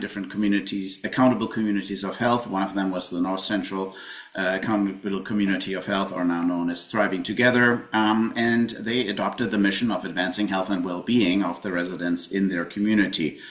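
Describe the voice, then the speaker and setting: Against noticeable background noise, a man with a fairly low voice talks at a fairly quick pace with hardly any pauses and fairly even intonation. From Germany. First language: German. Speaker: health tech consultant, company founder. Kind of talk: webinar presentation. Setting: live webinar.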